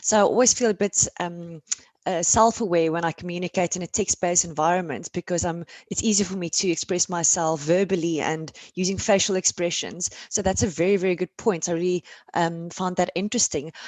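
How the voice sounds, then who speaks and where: In a South African accent, a woman talks at a fairly quick pace with a fairly low pitch. Her intonation is fairly even. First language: Afrikaans. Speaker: panel moderator. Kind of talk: panel discussion.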